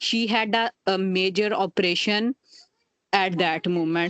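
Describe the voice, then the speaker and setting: Music in the background behind a woman's medium-pitched voice. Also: dry, close sound with no echo. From Pakistan. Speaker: parent of a seriously ill child. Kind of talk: testimony. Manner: halting.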